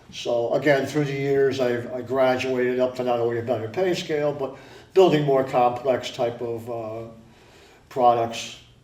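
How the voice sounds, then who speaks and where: Amid noticeable background noise and audible room echo, a man with an American accent speaks at medium pitch and a moderate pace with fairly even intonation. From Connecticut, Stratford. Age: 60s. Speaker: retired technician, support group founder. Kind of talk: interview.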